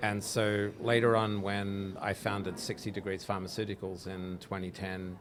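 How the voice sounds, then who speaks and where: With an Australian accent, a man with a fairly low voice speaks at a moderate pace in a monotone, flat delivery, with audible room echo. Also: hardly any pauses. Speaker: drug researcher, company founder. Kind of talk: interview. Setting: live at a conference.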